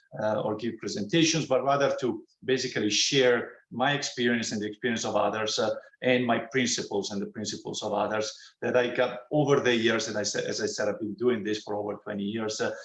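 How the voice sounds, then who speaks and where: Here a man with an Italian accent talks at a fairly quick pace and medium pitch. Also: ordinary pitch variation. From Italy. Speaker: computer science professor. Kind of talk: academic talk. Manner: halting, many fillers.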